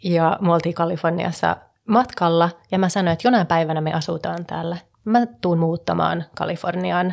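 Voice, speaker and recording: A woman with a fairly low pitch speaks in an unremarkable speaking voice with fairly even intonation. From Sweden, Stockholm (Finnish parents). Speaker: real estate investor and entrepreneur. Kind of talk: casual chat. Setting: studio.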